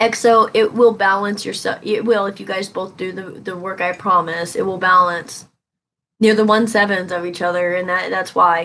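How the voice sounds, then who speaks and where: A woman of medium pitch speaks with a bright, sharp tone and monotone, flat intonation. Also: moderate pace. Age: 30s. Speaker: tarot reader. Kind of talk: live stream reading. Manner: casual, conversational.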